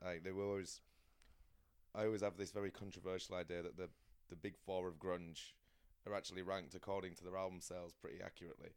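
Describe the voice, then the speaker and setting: A man with a very deep, low voice speaks at a very fast pace in a flat monotone, leaving long, frequent pauses. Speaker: podcast host. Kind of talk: casual chat.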